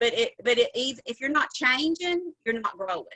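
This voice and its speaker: A woman's high-pitched voice with a bright, sharp tone and a Southern US accent, lively intonation at a fairly slow pace, in a dry, close sound with no echo. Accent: Southern drawl. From US South. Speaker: cosmetics sales director. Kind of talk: motivational training talk. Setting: video call. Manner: animated.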